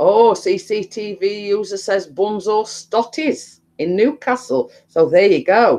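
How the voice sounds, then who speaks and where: A woman's very slow, medium-pitched voice with a dark, mellow tone, lively intonation and hardly any pauses. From England, Nottingham. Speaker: live-stream host. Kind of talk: casual chat. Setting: live video stream. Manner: chatty, rambling with fillers.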